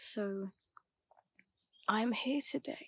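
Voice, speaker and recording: A woman speaks in a calm tone with lively intonation, her fairly high voice somewhat breathy. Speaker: ASMR and mindset content creator. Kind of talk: ASMR affirmations / guided mindset talk. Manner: soft-spoken, calm, slow.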